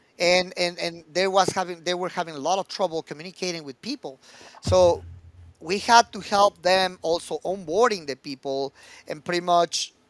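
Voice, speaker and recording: A high-pitched man at a moderate pace, with a dry, close sound and no echo. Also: ordinary pitch variation. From Mexico, Mexico City. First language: Spanish. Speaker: recruitment executive. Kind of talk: podcast interview. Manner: halting with repeated words.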